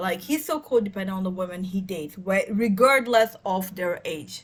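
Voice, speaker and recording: In a very clean recording with a silent background, a somewhat breathy voice moves at a moderate pace. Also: woman. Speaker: tarot reader. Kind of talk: tarot reading monologue. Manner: hesitant, many fillers.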